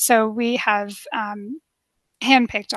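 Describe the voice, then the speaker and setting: A normal speaking voice from a woman with a Canadian accent, fairly high in pitch, with fairly even intonation at a fairly slow pace over a quiet background. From Canada. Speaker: travel expert. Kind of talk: webinar Q&A.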